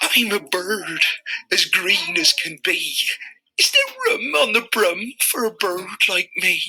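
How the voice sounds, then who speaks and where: In a put-on character voice, a woman speaks with fairly high pitch at a fairly slow pace. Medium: read story.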